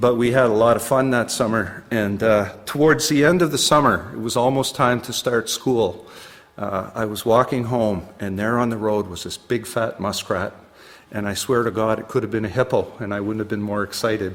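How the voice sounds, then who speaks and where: This man speaks with a Canadian Maritime accent. His pitch is medium. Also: ordinary pitch variation, moderate pace. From New Brunswick, Canada. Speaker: poet. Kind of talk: casual chat; poetry reading.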